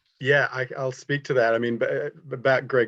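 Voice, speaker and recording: Fairly even intonation against a quiet background. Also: man. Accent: Australian. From Australia. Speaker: art critic. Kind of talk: panel discussion.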